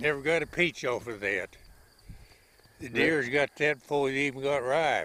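Speaking at a moderate pace with long, frequent pauses, a man with an Oklahoma accent has a fairly high pitch, a bright, sharp tone and fairly even intonation, in a dry recording with no echo. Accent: rural Oklahoma. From southwest Oklahoma. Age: 80s+. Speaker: farmer. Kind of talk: interview answer. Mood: wry, matter-of-fact. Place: farm machine.

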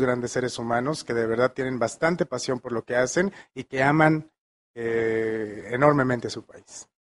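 A man talks with a Mexican accent at a moderate pace. His intonation stays fairly even. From Mexico, Michoacán (Morelia); Michoacán, Mexico. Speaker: chef; interviewee. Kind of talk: interview. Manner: halting. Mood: warm, appreciative. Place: studio. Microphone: handheld.

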